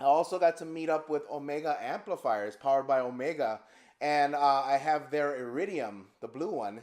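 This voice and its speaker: A man's voice with ordinary pitch variation at a moderate pace. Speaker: guitarist and amp builder. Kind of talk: product demo. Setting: edited live video stream. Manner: loud. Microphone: powered studio mic set low.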